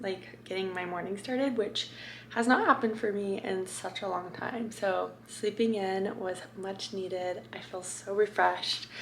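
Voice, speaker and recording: Against noticeable background noise and audible room echo, a woman of medium pitch speaks at a fairly slow pace. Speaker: lifestyle vlogger. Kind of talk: casual vlog talk to camera; sponsored product pitch. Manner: chatty, upbeat.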